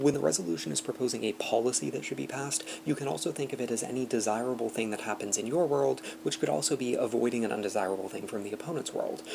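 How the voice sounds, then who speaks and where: Over noticeable background noise, the voice races along at a very fast pace with very wide pitch swings. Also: man, medium pitch for a man. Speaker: debate coach. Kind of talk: lecture. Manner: reading from a script.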